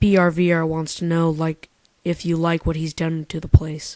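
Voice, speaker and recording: A put-on character voice speaks at a middle pitch and moderate pace. The intonation stays monotone and flat. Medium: read story.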